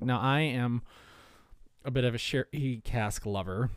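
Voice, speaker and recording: Recorded very cleanly with a silent background, a man speaks with ordinary pitch variation. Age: 40s. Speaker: whisky podcast host. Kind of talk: casual solo podcast, whisky tasting. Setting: home. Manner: rambling with many fillers.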